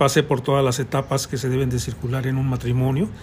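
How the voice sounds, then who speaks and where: A man's somewhat breathy voice. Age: 70s. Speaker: architect. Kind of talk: interview. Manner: halting.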